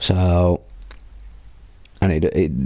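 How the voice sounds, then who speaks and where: This man has an English accent and a very deep, low pitch. His tone is dark and mellow. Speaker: video game streamer. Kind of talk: gameplay commentary. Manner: loud; casual, rambling.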